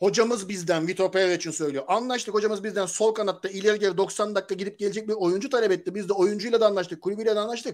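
A man speaks very fast in a high voice, with hardly any pauses and fairly even intonation. The background is quiet. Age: 40s. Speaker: football commentator; football commentator panelist. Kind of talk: casual chat. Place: home room. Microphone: video call.

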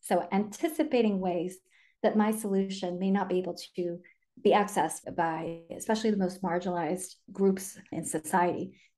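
Over background music, a woman talks at a moderate pace with ordinary pitch variation. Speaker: podcast guest. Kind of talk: interview answer. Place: home room. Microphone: video call.

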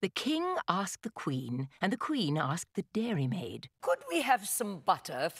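This is a natural reading voice. Nothing more stands out.

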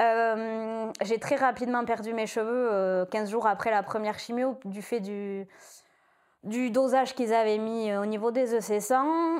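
Against a quiet background, a woman speaks very slowly at a fairly high pitch with fairly even intonation. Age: 30s. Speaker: breast cancer patient giving testimony. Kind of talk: testimony. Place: home room. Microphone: lapel.

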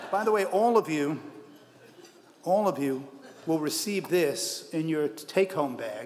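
A man talks at a fairly slow pace in a high voice. Light background noise can be heard. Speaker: award presenter. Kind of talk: ceremonial speech. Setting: stage with audience. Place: hall. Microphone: podium.

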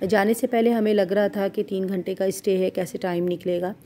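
This woman's voice has a dark, mellow tone and a medium pitch. Her intonation is fairly even. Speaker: travel vlogger. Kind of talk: vlog narration.

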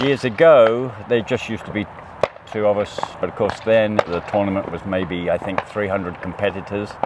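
Speaking at a moderate pace, a man sounds dry with no echo, though noticeable background noise runs behind him. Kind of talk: interview answer. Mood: relaxed, friendly. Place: open country.

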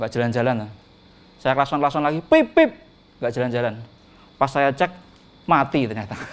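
A man talks at a fairly quick pace with ordinary pitch variation, broken by long, frequent pauses. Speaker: stand-up comedian. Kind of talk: stand-up comedy. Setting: stage with audience. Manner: animated; playful, mimicking sounds and animals. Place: stage. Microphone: handheld.

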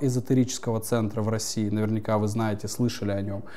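Dark and mellow, this man's voice carries a low-lit, soft tone. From Yakutia, Russian Far East. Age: 30s. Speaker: spiritual coach. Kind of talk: interview. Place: home room.

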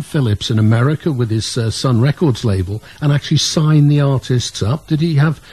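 The man's delivery moves along at a moderate pace. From north-east Wales near Liverpool. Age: 70. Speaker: radio co-host. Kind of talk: radio interview. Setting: studio. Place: studio.

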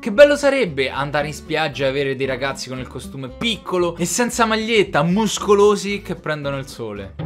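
Faint music plays behind a man who talks at a fairly quick pace. His loudness swings widely. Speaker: youtuber. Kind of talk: casual vlog chat. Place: home room.

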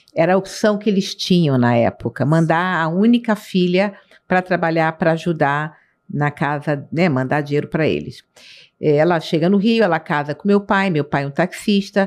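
A woman talks at a moderate pace in a fairly low pitch, with ordinary pitch variation and very even loudness. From Rio de Janeiro, Brazil. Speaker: city councillor. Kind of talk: interview. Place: studio. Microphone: studio mic.

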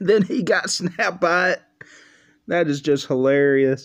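A man speaks very slowly, his pitch varying in an ordinary way against a quiet background. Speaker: reaction video creator. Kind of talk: casual vlog chat. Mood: amused, laughing. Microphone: webcam.

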